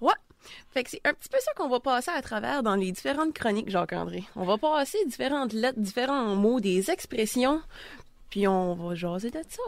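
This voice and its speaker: On a very clean recording with a silent background, a woman speaks at a moderate pace. Her pitch is high and swings very widely. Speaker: radio columnist, new to radio.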